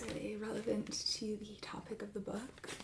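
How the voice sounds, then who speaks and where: At a moderate pace, a soft-spoken woman talks over noticeable background noise. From Italian-American, Philadelphia. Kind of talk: ASMR roleplay as a used bookstore clerk.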